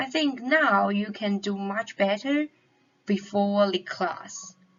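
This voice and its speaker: A woman's somewhat breathy, medium-pitched voice with a non-native accent, ordinary pitch variation and a very slow pace. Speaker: psychology consultant lecturing medical students. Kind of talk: lecture. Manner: halting.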